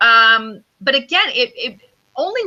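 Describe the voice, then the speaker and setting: Loud and high-pitched, a woman's voice moves through very wide pitch swings. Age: 40s. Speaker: intuitive business coach. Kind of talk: interview conversation.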